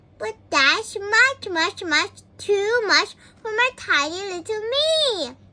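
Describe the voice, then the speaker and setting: A woman puts on a squeaky character voice at an extremely high pitch. She goes very slowly, with very wide pitch swings. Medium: read story. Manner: small, timid.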